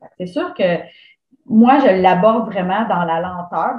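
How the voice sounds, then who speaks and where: Here is a woman with a medium-pitched voice. She speaks in a Quebec accent. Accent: Québécois French. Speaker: running coach and entrepreneur. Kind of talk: casual interview. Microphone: connection problems at times.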